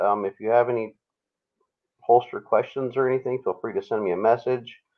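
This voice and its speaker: Using a normal speaking voice with an American accent, a man speaks at a medium pitch with fairly even intonation. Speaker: custom holster maker. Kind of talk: political panel discussion.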